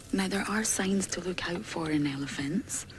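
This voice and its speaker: Soft-spoken, a woman talks at a moderate pace with ordinary pitch variation, and audible room echo surrounds her. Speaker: safari guide. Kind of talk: live commentary. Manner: animated.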